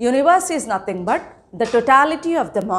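Speaking with an Indian accent, a woman's pitch swings very widely. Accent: Indian English (Telugu). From India, Telangana. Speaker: school teacher. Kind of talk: lecture. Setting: recorded online class. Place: classroom.

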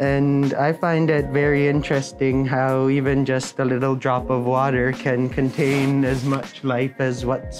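With clear music in the background, a man speaks at a fairly slow pace. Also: very even loudness. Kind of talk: interview answer. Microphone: lapel.

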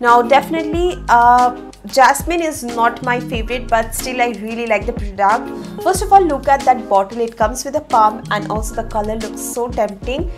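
A high-pitched woman's voice with hardly any pauses, over clear music in the background. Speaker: beauty content creator. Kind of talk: product review vlog. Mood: cheerful, upbeat. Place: home room.

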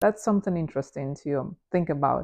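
A woman speaks with a non-native accent in a relaxed tone. The background is quiet. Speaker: photographer. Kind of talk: unscripted casual talk to camera. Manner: relaxed, with filler words and pauses. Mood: relaxed, amused. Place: home room. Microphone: lapel.

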